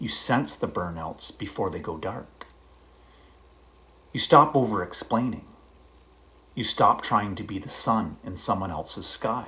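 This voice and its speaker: At a fairly slow pace, a man talks in a calm tone. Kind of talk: poetry reading. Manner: reflective, calm.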